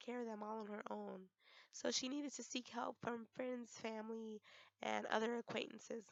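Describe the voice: A woman's fairly high voice with vocal fry, fairly even intonation and a moderate pace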